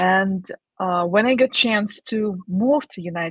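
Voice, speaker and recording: Somewhat breathy, a woman speaks at medium pitch and a fairly slow pace. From Ukraine. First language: Ukrainian or Russian. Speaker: digital marketer. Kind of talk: livestream interview. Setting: livestream. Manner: halting.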